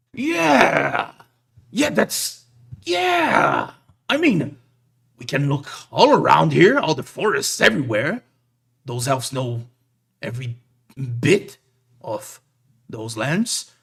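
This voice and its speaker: In a put-on character voice, the speaker moves at a very slow pace with long, frequent pauses. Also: man, fairly high pitch for a man. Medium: actual play. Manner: gruff, blustering.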